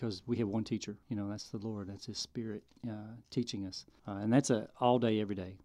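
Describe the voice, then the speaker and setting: Very fast and monotone with flat intonation, a man talks at a fairly low pitch in a dark, mellow tone. His loudness swings widely. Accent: Southern US. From Arkansas. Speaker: filmmaker. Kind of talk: testimony.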